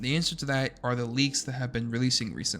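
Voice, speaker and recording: The speech moves at a fairly quick pace with music in the background. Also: man. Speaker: gaming commentator. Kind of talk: unscripted rant. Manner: loud; mumbling.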